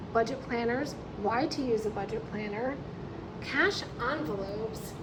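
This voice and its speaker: High-pitched speech from a woman over noticeable background noise. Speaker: budget planner seller. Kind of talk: casual talk to camera.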